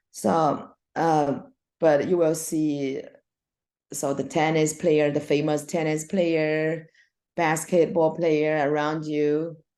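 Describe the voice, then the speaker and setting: A woman with a Chinese accent, her very deep, low pitch and dark, mellow tone paired with fairly even intonation and a very slow pace, against a quiet background. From China. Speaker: swim coach and former Olympic swimmer. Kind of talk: casual interview. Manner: halting.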